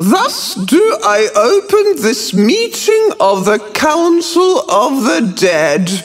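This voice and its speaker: A man's put-on character voice, wheezy and shrill, at an extremely high pitch with very wide pitch swings, a very slow pace and hardly any pauses. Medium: read story. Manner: ceremonial, dramatic.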